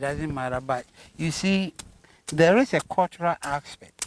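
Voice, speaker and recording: A man with a Ghanaian accent speaks at a moderate pace, his pitch fairly high with ordinary variation. The sound is dry and close, with no echo. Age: 70s. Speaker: farmer. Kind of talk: interview answer.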